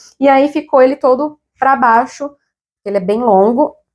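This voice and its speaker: This woman's voice sits high in pitch, with ordinary variation in its melody. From Brazil. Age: 30s. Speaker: fashion YouTuber. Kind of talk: haul video, casual talk to camera. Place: home room. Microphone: lapel.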